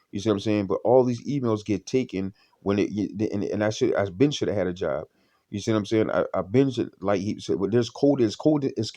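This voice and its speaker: Against a quiet background, a man with a dark, mellow, shaky voice talks at a very fast pace with ordinary pitch variation. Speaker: vlogger. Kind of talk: casual monologue vlog. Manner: halting, frequent stammering and repetitions.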